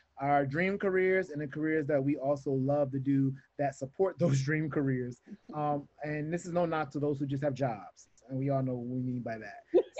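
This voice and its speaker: A man with an American accent and a fairly high pitch, at a moderate pace over a quiet background. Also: ordinary pitch variation. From US South. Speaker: podcast co-host; co-host. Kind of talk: casual chat. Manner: animated. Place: home room. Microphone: video call.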